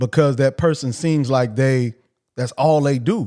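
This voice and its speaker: With a dark, mellow tone, a man talks at a fairly high pitch with ordinary pitch variation. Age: 40s. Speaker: livestream host. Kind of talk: casual monologue. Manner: repetitive.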